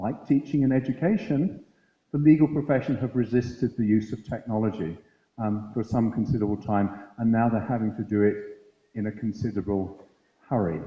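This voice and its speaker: This is a man with a plain, everyday voice, medium in pitch and ordinary in pitch variation. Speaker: conference speaker at a university. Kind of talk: lecture.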